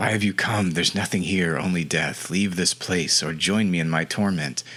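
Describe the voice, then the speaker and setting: Over light background noise, a man uses a put-on character voice, hissing at a very deep, low pitch and a moderate pace. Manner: ominous, warning.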